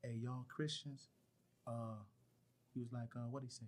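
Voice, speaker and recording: This is a man speaking. His pitch is medium. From Chicago, South Side. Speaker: rapper and activist. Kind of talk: casual interview. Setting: studio.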